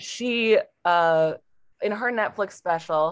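A woman with an American accent at a very slow pace. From Portland, Oregon. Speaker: comedian. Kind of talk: casual chat.

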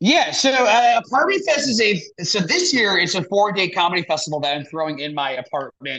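A man with a high, raised, projected voice talks at a fairly quick pace with hardly any pauses. His pitch swings very widely and his tone is bright and sharp. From New Jersey (born in the Bronx). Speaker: comedian. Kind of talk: casual chat.

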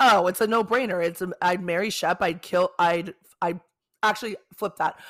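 An unremarkable speaking voice at a moderate pace with fairly even intonation comes through a dry, close, echo-free and very clean recording with a silent background. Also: woman. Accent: American. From South Bay, Los Angeles, California. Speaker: podcast host. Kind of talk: casual chat.

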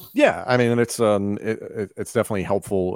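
A man with a plain, everyday voice talks at a fairly quick pace and fairly low pitch, the sound dry and close with no echo. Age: 30s. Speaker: wrestling commentator. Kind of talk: casual chat.

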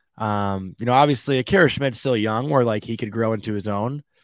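With a normal speaking voice, a man talks at a fairly quick pace, his medium pitch held in fairly even intonation. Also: very clean recording, silent background. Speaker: hockey podcast co-host. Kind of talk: casual sports banter.

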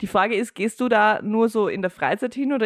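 A woman with a Viennese accent at a fairly quick pace, in dry, close sound with no echo and a quiet background. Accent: Viennese Austrian German. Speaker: podcast co-host and producer. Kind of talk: casual chat.

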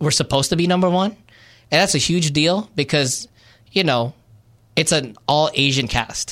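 A man at a moderate pace with ordinary pitch variation, in a very clean recording with a silent background. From Glendale, California (born in the Philippines, moved at four). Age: 40s. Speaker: podcast co-host. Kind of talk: casual chat.

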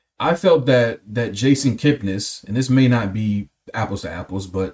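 A somewhat breathy man with an American accent and lively intonation. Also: hardly any pauses. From Cleveland, Ohio. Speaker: podcast host. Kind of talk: casual chat.

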